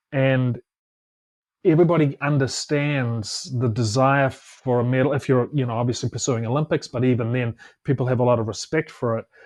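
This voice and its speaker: Over a quiet background, a man talks fairly quickly at medium pitch with fairly even intonation. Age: 50s. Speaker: Olympic swimmer and motivational speaker. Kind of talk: casual chat. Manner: halting, many repeated words.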